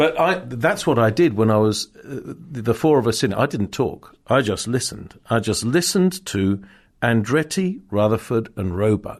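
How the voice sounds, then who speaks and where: A man's lively intonation at a moderate pace over a quiet background. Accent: RP. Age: 60s. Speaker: motorsport journalist and podcast host. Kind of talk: casual chat. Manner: halting, many fillers.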